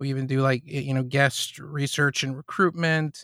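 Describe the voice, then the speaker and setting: A man speaks at a moderate pace with a plain, everyday voice, fairly high in pitch and fairly even in intonation. The sound is dry and close with no echo, on a very clean recording with a silent background. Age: 30s. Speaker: podcast production business founder. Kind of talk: casual interview.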